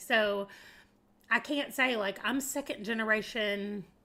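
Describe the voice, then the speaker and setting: In an American accent, the speaker has a bright, sharp tone, a moderate pace and ordinary pitch variation. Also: woman. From US South, southeastern Arkansas. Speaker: livestreamer. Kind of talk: casual chat. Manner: animated.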